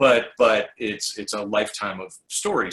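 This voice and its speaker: At a moderate pace, a man with a fairly low pitch talks in a normal speaking voice. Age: 60s. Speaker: writer and former radio host. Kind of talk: casual interview. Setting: video call.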